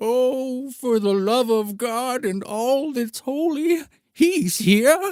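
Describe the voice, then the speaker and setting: A fairly high put-on character voice at a very slow pace. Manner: dramatic, loud, shouting.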